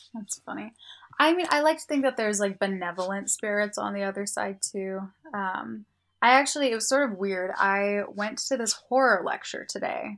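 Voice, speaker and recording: A plain, everyday voice with an American accent speaks at a moderate pace with ordinary pitch variation. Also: woman, medium pitch for a woman. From US, Indian family. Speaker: podcast co-host, college student. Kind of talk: casual chat.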